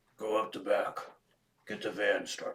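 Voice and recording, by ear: This man puts on a character voice. He speaks at a moderate pace.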